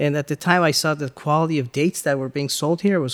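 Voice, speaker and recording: Someone with an American accent talks in a plain, everyday voice with fairly even intonation and a dry, close sound with no echo. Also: man. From Los Angeles, Iranian-born. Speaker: business owner, food distributor. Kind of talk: interview.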